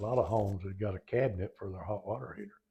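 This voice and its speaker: With an American accent, a man speaks in a fairly low, somewhat breathy voice with ordinary pitch variation. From Oklahoma. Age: 80s+. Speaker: retired firefighter. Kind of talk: oral history interview. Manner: halting.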